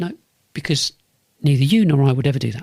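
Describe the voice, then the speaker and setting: A man with a London accent speaks at a fairly high pitch with ordinary pitch variation. His voice is somewhat breathy. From North London. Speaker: business podcast host and consultant. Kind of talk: solo podcast monologue. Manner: repetitive, restarts phrases often; fairly sharp.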